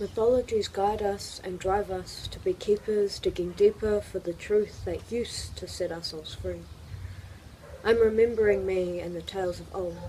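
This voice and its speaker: A woman at a moderate pace, her loudness swinging widely, against noticeable background noise. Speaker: spoken word poet. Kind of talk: poetry reading.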